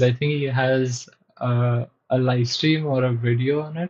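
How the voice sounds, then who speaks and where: A man with a non-native accent and medium pitch speaks at a fairly slow pace in a monotone, flat intonation. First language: not English. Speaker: software developer streamer. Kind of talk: live coding stream chat. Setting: live stream. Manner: hesitant, many fillers.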